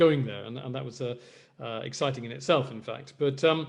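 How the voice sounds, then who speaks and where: Very fast, somewhat breathy speech in an English accent, with fairly even intonation. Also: man. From Spain, Madrid (English school, British father). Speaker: flamenco guitarist. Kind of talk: interview talk. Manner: hesitant, many fillers and repetitions.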